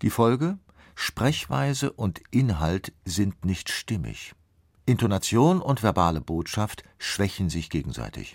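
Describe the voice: Speaking slowly at a fairly low pitch, a man shows vocal fry and big pitch swings. The recording is very clean, with a silent background.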